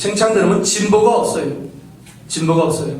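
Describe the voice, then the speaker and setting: A man speaks fairly quickly with ordinary pitch variation, while noticeable background noise and audible room echo fill the recording. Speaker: pastor. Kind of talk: sermon. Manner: fast; articulate.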